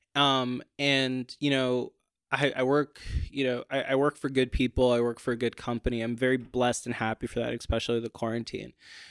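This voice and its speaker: A man talks at a fairly quick pace and a medium pitch. The sound is dry and close with no echo, in a very clean recording with a silent background. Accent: American. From Portland, Maine, US. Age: 20s. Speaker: stand-up comedian. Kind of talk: casual chat. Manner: animated.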